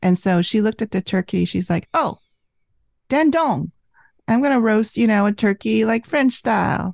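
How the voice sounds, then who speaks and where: A woman speaks at medium pitch and a moderate pace, with lively intonation and very even loudness. The sound is dry and close with no echo, over a quiet background. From Vietnam, raised in US from age six. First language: Vietnamese. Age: 50s. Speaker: cookbook author. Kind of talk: casual interview. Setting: remote call.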